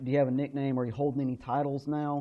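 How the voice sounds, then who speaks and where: This man has an unremarkable speaking voice, fairly high in pitch, and he talks at a fairly quick pace. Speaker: wrestling ring announcer. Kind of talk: interview answer.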